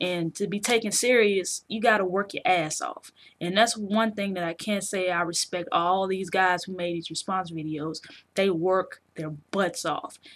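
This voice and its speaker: A woman speaks at a fairly slow pace in a South Carolina accent. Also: medium pitch for a woman, fairly even intonation. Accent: South Carolina, noticeable in her speech. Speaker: video game journalist and vlogger. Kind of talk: casual vlog commentary. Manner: casual, slang-heavy with fillers.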